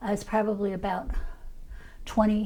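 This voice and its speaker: A woman with a Chicago accent speaks at a medium pitch. Her tone is dark and mellow. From US Midwest, Chicago south side. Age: 70s. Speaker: former activist. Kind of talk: oral history interview. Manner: halting, many fillers.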